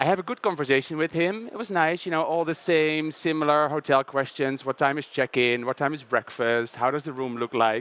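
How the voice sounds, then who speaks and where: With a Dutch accent, a man speaks at a fairly quick pace and a fairly high pitch. His pitch varies in an ordinary way, and the sound is dry and close with no echo. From southern Netherlands, Brabant. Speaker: panel moderator. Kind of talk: panel introduction with personal story.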